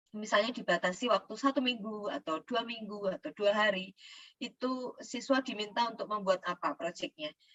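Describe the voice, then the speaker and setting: A woman talks at a moderate pace with hardly any pauses. Her pitch is fairly high, with ordinary variation. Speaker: teacher trainer. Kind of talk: lecture. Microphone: too quiet.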